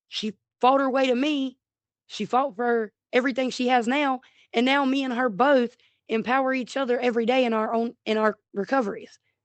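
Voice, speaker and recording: Loud and high-pitched, a woman speaks. Her intonation stays fairly even. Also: moderate pace. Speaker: YouTuber in addiction recovery. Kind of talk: personal testimony vlog. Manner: loud, outspoken.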